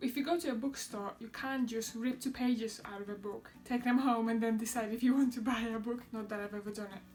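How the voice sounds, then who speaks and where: Full of enthusiastic tone, a woman with a Polish accent and a fairly high pitch talks at a fairly quick pace with hardly any pauses over noticeable background noise. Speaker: vlogger. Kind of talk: product review vlog.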